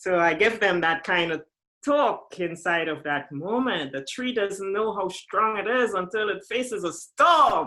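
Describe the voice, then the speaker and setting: A woman with a bright, sharp tone talks fairly slowly, her intonation lively. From Caribbean. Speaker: sport psychologist. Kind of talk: interview.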